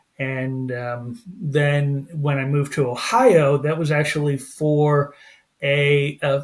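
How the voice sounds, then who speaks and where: Somewhat breathy and fairly high-pitched, a man talks with an American accent. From Pennsylvania. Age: 60s. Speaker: former pastor, family life coach. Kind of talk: podcast interview. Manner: halting, many fillers.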